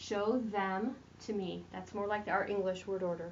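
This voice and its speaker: The pace is moderate. Audible room echo colors the sound. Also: woman. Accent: American. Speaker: French teacher. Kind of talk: recorded tutorial lesson.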